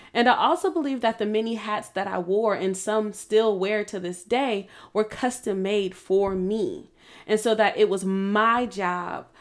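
The speaker has a plain, everyday voice and a fairly slow pace with ordinary pitch variation. The recording is very clean, with a silent background. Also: woman. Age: 30s. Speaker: podcast host. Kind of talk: motivational monologue.

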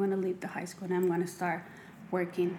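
A woman with a medium pitch speaks in a Mexican accent. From Mexico. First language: Spanish. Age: 30s. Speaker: makeup artist and cosmetics entrepreneur. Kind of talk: casual interview.

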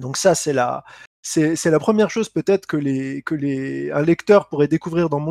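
A man speaks at a fairly slow pace with a dark, mellow tone. His pitch varies in an ordinary way, and the sound is dry and close with no echo. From France, Lorraine (Lunéville). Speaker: entrepreneur and author. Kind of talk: interview.

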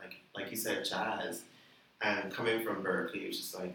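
A man's words come at a moderate pace, with noticeable background noise around them. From Bahamas. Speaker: band musician. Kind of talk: casual chat.

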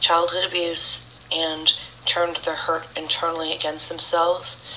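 The speaker has an American accent and talks at a moderate pace. Noticeable background noise runs underneath. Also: woman. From California. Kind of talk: testimony. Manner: halting, many fillers.

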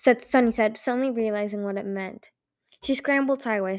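Quiet background behind reading aloud in a natural voice, with ordinary pitch variation

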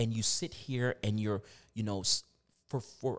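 An unremarkable speaking voice from a man, fairly low in pitch and fairly slow in pace, on a very clean recording with a silent background. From US, Virginia. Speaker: motivational speaker. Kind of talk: casual interview chat.

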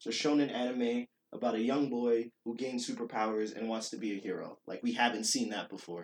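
This man speaks at a fairly quick pace. His pitch is medium. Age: young. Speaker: podcast co-host. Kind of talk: casual chat. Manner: animated.

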